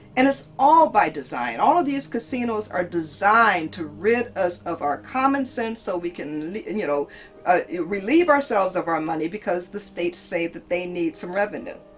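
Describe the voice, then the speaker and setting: Music plays in the background as a woman speaks at a moderate pace. Her medium pitch swings very widely. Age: 60s. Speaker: author and recovering gambling addict. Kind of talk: interview testimony.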